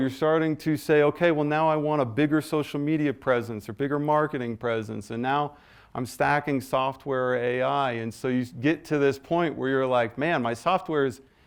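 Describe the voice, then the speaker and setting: With a quiet background, a man in an unremarkable speaking voice talks at a moderate pace, fairly high in pitch with ordinary pitch variation. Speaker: AI business owner and presenter. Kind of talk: business presentation.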